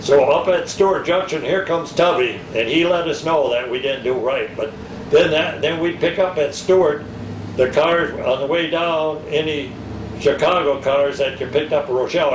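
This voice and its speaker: American accent and ordinary pitch variation, with audible room echo and noticeable background noise. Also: man. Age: 70s. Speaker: retired railroad worker. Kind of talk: interview reminiscence. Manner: halting, many false starts.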